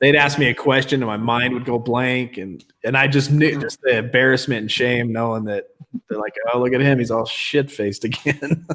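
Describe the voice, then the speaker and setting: With a Utah accent, a man speaks at a fairly quick pace and a medium pitch, keeping his intonation fairly even. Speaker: recovery livestream host. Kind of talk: casual chat.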